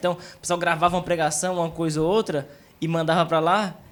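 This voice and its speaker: At a very fast pace, a man speaks in a high pitch. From Brazilian (São Paulo and Minas Gerais).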